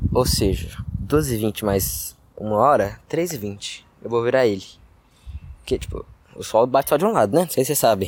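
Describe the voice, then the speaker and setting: Long, frequent pauses break up a man's speech, though his pace stays moderate. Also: medium pitch for a man, lively intonation. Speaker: solo podcaster. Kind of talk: casual monologue. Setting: outdoors, building playground. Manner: loud.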